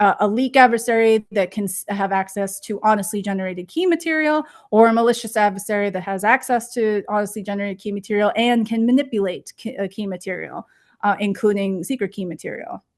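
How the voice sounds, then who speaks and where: Over a quiet background, a woman talks at a fairly quick pace in a medium pitch, with ordinary pitch variation. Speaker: research engineer. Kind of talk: conference talk. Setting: online presentation. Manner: hesitant, many fillers.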